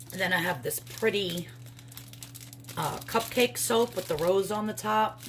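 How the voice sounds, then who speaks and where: Someone with an American accent speaks at a fairly slow pace, with very wide pitch swings, long and frequent pauses, and noticeable background noise. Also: woman, medium pitch for a woman. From New York. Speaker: crafter and soap maker vlogger. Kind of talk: casual vlog.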